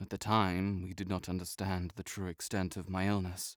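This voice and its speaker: In a put-on character voice with a British accent, a man sounds raspy at a very deep, low pitch, monotone and flat in intonation, at a moderate pace. The recording is very clean with a silent background and a dry, close sound with no echo. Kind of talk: audio roleplay. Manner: haughty, dry.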